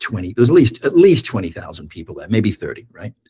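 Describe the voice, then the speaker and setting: Dark, mellow male tone, somewhat breathy. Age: 60s. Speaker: therapist and author. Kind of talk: casual podcast conversation. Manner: hesitant, many fillers.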